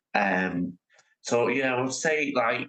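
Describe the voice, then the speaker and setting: With a Lancashire accent, a man speaks at a medium pitch and a very slow pace. His tone is bright and sharp, and the sound is dry and close with no echo. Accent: Northern English (Lancashire). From Oldham, England. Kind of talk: interview answer. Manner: hesitant, lots of fillers.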